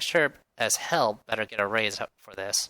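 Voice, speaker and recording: The sound is dry and close, with no echo. A man uses a put-on character voice at a moderate pace. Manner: low, muttering.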